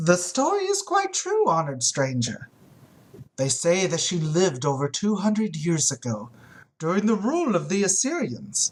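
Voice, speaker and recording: Using a put-on character voice, a man talks at a moderate pace, his pitch high and his voice resonant. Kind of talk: oratorical storytelling. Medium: read story. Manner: eloquent, measured.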